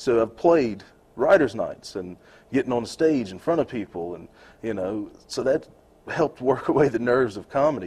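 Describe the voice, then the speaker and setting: With an unremarkable speaking voice, a man talks at a moderate pace in a medium pitch, with lively intonation and big swings in loudness, over a quiet background. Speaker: stand-up comedian and songwriter. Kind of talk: casual interview chat.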